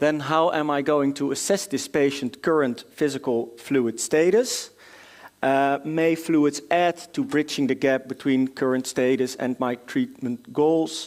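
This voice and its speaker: A man speaks with a Dutch accent at a fairly high pitch and a fairly slow pace. His pitch varies in an ordinary way, and his loudness stays very even. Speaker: doctor presenting at a medical conference. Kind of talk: conference lecture. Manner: hesitant, many filler sounds.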